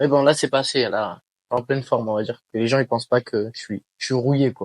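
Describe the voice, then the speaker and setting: Fairly quick, fairly evenly intoned speech from a medium-pitched man, with a dry, close sound and no echo. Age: 20s. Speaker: professional MMA fighter. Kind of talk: interview. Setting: shop. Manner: hesitant, many filler sounds.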